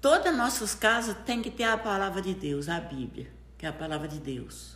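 Over noticeable background noise, a woman speaks at a fairly slow pace with very wide swings in pitch. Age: 70s. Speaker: grandmother. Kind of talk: casual chat. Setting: at her home.

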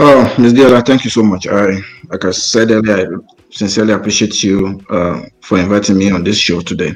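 A man with a Nigerian accent talks at a fairly quick pace. His pitch is fairly low and varies in an ordinary way. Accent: Nigerian (Yoruba) English. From Nigeria, Ondo State. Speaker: realtor. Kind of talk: panel discussion.

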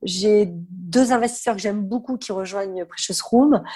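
A woman speaks in a somewhat breathy, fairly high voice with ordinary pitch variation. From southern France. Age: 50s. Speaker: fashion consultant and trade fair founder. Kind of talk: podcast interview.

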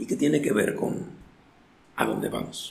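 A man's speech carries audible room echo, with noticeable background noise present as well. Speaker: recovering addict sharing life story. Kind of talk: testimony. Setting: in-person recording in Oaxaca.

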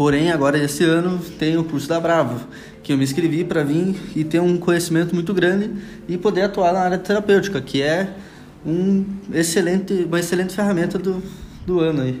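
Noticeable background noise and audible room echo fill the clip. A man speaks fairly quickly in a high pitch with fairly even intonation. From Paraná, southern Brazil (União da Vitória). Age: 20s. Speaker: co-host, hypnosis student. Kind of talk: casual educational chat.

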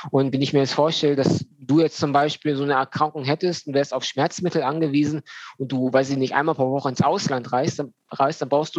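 Using a plain, everyday voice, a man speaks at a fairly quick pace with hardly any pauses, a fairly high pitch and fairly even intonation, in a dry, close sound with no echo. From Germany, North Rhine-Westphalia (Düsseldorf). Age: 30s. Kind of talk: podcast interview.

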